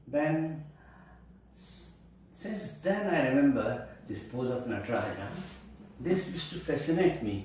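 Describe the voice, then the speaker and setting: Speech comes at a fairly slow pace, with long, frequent pauses and very wide pitch swings. Noticeable background noise and audible room echo fill the recording. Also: man, fairly high pitch for a man. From central India. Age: 70s. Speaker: Kathak dancer. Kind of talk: interview storytelling. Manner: halting.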